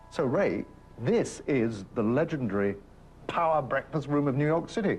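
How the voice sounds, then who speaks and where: A man with an English accent, fairly high in pitch and swinging very widely, at a moderate pace and very even loudness. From England. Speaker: documentary presenter. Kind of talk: interview.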